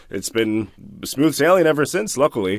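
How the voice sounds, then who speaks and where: Here is a man with an American accent. His intonation is lively. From United States. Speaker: voice actor. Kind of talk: interview answer. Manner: casual.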